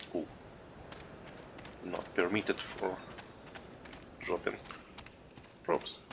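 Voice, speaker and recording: A man with a non-native accent talks at a very slow pace. He leaves long, frequent pauses. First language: not English. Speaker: gaming streamer. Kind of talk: live gameplay stream commentary. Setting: live stream.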